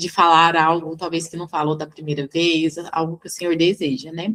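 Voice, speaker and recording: At a moderate pace, a woman with a fairly low pitch uses an unremarkable speaking voice. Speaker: devotional leader. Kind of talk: devotional teaching.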